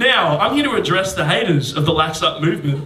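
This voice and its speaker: A voice with an Australian accent comes through audible room echo and noticeable background noise. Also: man. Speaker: comedian podcast host. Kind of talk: live podcast banter. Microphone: poor audio quality from faulty recorder.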